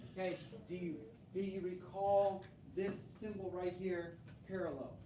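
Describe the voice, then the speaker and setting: With audible room echo and noticeable background noise, a woman talks at a medium pitch. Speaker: middle school math teacher. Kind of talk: classroom lecture. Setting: classroom.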